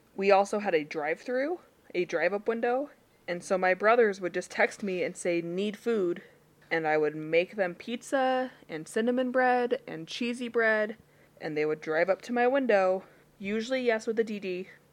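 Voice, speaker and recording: A woman's medium-pitched voice, an ordinary speaking voice, at a moderate pace with lively intonation and a quiet background. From Utah. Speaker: podcast co-host. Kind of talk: casual chat.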